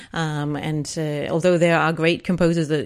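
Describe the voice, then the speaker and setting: In an English accent, a woman speaks at a fairly quick pace with a very deep, low pitch and monotone, flat intonation, on a very clean recording with a silent background. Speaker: composer. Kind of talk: interview. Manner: hesitant, many fillers.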